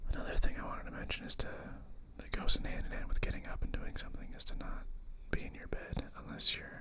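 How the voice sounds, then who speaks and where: Whispering comes at a very fast pace against noticeable background noise. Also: man. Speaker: ASMR creator. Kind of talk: ASMR whispered ramble. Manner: whispered.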